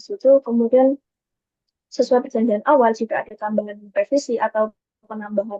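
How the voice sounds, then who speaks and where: A very fast woman's voice, fairly high-pitched, with fairly even intonation. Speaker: university student, job interview candidate. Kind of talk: mock job interview. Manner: formal.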